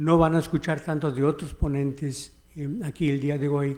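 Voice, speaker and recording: A man speaks at a fairly high pitch. His pace is fairly slow. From United States, Mexican-American. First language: English (speaking Spanish). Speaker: history professor. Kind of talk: keynote lecture. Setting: conference hall with audience. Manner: halting, with fillers.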